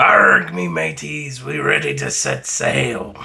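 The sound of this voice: Using a put-on character voice, a man growls out raspy words at a very deep, low pitch and a fairly slow pace.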